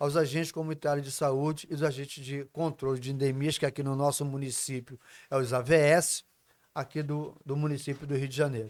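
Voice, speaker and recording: A man with an ordinary speaking voice speaks at a moderate pace and a fairly high pitch. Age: 60s. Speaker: union leader. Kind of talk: casual interview chat. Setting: recorded at host's home.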